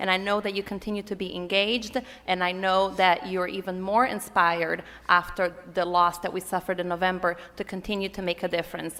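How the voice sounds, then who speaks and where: A woman speaks with a Portuguese accent in a bright, sharp tone. Her intonation stays monotone and flat. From Brazil. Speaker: political activist. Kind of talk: conference panel talk.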